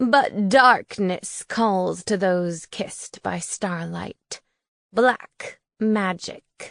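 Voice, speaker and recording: Putting on a character voice, a woman at medium pitch hisses her words at a very slow pace. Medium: read story. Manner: hissing.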